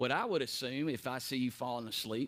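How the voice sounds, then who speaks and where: A man with a Tennessee accent. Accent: Southern US (Tennessee). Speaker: preacher teaching Bible class. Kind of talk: Bible study teaching. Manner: gets loud at times when preaching; hesitant with fillers and repeats.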